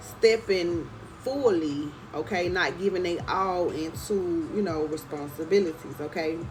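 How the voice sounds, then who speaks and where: A woman speaks at a fairly slow pace with a fairly low pitch and ordinary pitch variation. Room echo is audible, and background noise is noticeable. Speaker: tarot reader. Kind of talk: tarot reading. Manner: casual, repeats okay.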